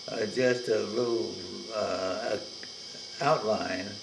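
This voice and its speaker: There is noticeable background noise. A man talks, and room echo can be heard. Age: 90s. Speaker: family elder. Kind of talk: oral history recording. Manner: halting.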